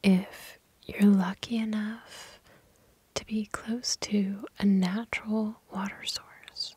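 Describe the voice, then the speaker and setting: A soft-spoken woman's whisper in a soothing tone. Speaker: crystal healer. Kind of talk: ASMR whispered tutorial. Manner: whispered; soothing, soft-spoken.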